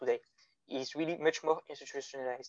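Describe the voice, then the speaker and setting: A man speaks with a French accent. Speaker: guest philosophy discussant. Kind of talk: academic discussion. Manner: halting.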